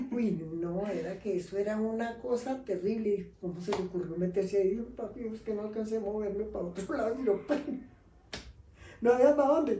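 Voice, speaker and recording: Audible room echo follows a woman whose voice is pitched fairly high. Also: ordinary pitch variation, fairly quick pace. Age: 70s. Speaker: grandmother telling life stories. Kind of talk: storytelling in casual interview.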